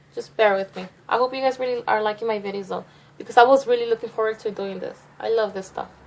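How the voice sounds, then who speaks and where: A woman with a fairly high pitch and fairly even intonation talks very fast, her loudness swinging widely, amid noticeable background noise. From Mexico. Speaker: beauty vlogger. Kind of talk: makeup tutorial. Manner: fast, words tumbling out.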